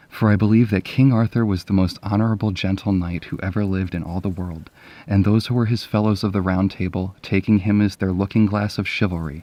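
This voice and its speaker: A normal speaking voice from a man, fairly low in pitch, at a fairly quick pace with hardly any pauses and fairly even intonation. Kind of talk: casual talk to camera, book commentary and reading. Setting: indoors at night, sitting in bed.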